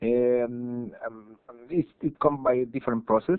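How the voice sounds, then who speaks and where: A medium-pitched man with a Spanish accent at a fairly slow pace. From Chile. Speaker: digital artist. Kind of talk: tutorial. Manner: halting, many fillers and repetitions.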